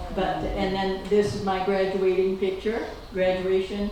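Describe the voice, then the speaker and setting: A woman at a medium pitch and moderate pace, with noticeable background noise and audible room echo. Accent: American. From Maine, US. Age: 90s. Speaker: local resident sharing family history. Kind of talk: informal talk to a local audience with photos. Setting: talk in a schoolhouse with audience. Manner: halting.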